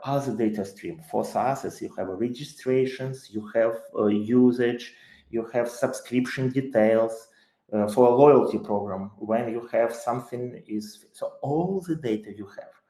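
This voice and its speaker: Speaking at a fairly slow pace, a man with a Ukrainian accent has a dark, mellow tone at a medium pitch, with ordinary pitch variation and big swings in loudness. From Ukraine. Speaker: tech company CEO. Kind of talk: webinar talk. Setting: live online webinar. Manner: hesitant, with many fillers.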